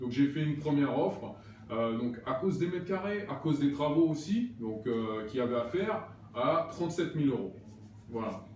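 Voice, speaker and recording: Amid noticeable background noise and audible room echo, a man with a fairly high pitch talks at a moderate pace with lively intonation. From Paris region, Val d'Oise. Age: 30s. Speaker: actor and property investor. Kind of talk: casual interview. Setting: apartment under renovation.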